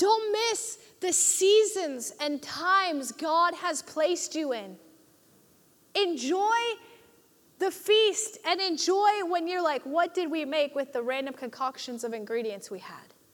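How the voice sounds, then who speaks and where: A woman speaks at an extremely high pitch in an animated tone, her pitch swinging very widely and her loudness rising and falling sharply. She talks at a fairly slow pace over noticeable background noise. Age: 20s. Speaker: youth pastor. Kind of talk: sermon. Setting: church with live congregation.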